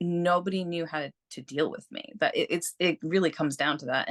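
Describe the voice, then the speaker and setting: A woman with a plain, everyday voice talks at a fairly quick pace in a fairly low pitch, with ordinary pitch variation. The background is quiet and the sound is dry and close with no echo. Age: 40s. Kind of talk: interview.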